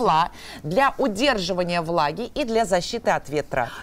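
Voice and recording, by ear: Lively intonation marks this woman's fairly low voice. She speaks at a moderate pace.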